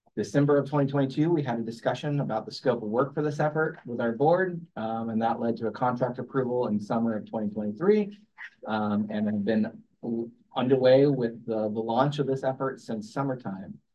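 A man uses a normal speaking voice, pitched in the medium range, with ordinary pitch variation. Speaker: transportation agency planning director. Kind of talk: staff presentation at public meeting. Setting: hybrid public meeting room.

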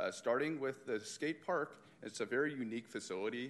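In a normal speaking voice, a man talks at a moderate pace with lively intonation. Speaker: recreation program supervisor. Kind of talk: presentation.

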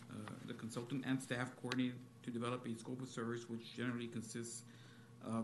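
A man with an American accent speaks very fast at a medium pitch in a flat, monotone delivery, with noticeable background noise behind him. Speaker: utility engineering staff. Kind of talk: staff presentation at public meeting.

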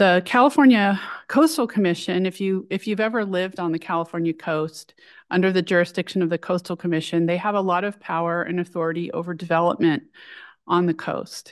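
In an ordinary speaking voice, a woman talks at a fairly quick pace, her medium pitch showing ordinary variation. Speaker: city attorney staff presenting. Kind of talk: presentation.

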